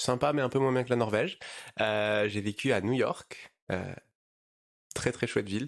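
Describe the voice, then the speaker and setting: Long, frequent pauses break up a man's medium-pitched speech at a moderate pace, with ordinary pitch variation and very even loudness. The recording is very clean, with a silent background. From southern France, near Marseille. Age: 30s. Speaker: startup founder, bank CEO. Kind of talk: podcast interview. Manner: hesitant, many fillers.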